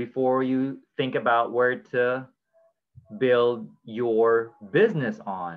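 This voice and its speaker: A man with a Filipino accent talks at a very slow pace. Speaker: blockchain community host. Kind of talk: casual educational discussion. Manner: informal, code-switching Taglish.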